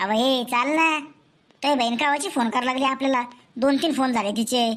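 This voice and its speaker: A woman performs a cartoonish character voice at a high pitch. Her pace is moderate. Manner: hurried, pushy.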